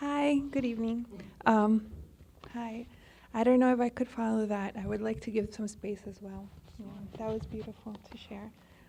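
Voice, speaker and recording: A woman with a slight Spanish accent talks at a moderate pace and a fairly high pitch, with fairly even intonation, big swings in loudness, and long, frequent pauses. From Colombia. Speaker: poet.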